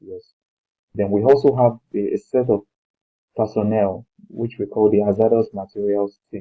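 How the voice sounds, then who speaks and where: This man has a Nigerian accent and a fairly low pitch. He speaks at a moderate pace. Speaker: lecturer. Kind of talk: lecture. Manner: halting, with repetitions and fillers.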